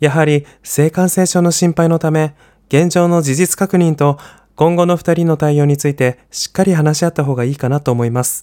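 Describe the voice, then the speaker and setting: Fairly high in pitch, a man speaks at a moderate pace with fairly even intonation and a dark, mellow, cheerful tone, the sound dry and close with no echo. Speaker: podcast panelist. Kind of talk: reading prepared answer. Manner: bright, cheerful.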